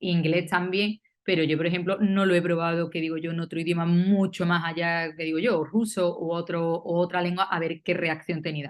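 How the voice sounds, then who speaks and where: With an Andalusian accent, a woman talks at a moderate pace in a fairly low pitch and a monotone, flat intonation. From Andalusia, southern Spain. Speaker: university philologist, panel speaker. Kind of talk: academic round-table talk. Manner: hesitant, many fillers.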